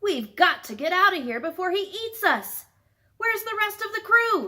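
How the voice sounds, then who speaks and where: A woman uses a put-on character voice at an extremely high pitch, moving at a moderate pace. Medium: read story.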